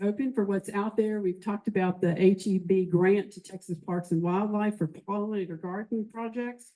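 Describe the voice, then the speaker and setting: With hardly any pauses, a woman talks in a dark, mellow tone and fairly even intonation. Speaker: master naturalist volunteer presenter. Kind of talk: presentation to club meeting.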